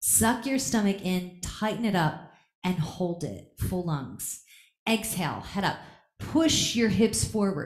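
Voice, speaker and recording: In a quiet room with audible echo, a woman speaks very slowly, her somewhat breathy voice lively in intonation. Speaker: yoga teacher. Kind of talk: live yoga class instruction. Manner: commanding, rhythmic counting. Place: gym.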